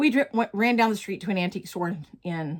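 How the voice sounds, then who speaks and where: In a Southern US accent, a woman speaks at a very fast pace. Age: 60s. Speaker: crafting vlogger. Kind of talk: casual chat. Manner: casual, chatty.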